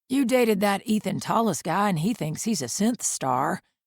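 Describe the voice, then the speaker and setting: Using a raspy put-on character voice, a woman speaks at a moderate pace in a medium pitch. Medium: read story. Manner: slurring, overfamiliar.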